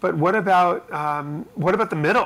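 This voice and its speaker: Bright and sharp in tone, a man speaks at a fairly slow pace. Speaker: entrepreneur and writer, founder of creative platform. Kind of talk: interview conversation. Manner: hesitant, filler words.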